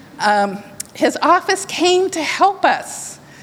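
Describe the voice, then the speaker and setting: A woman's voice with very wide pitch swings against noticeable background noise. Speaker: church member giving testimony. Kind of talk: testimony.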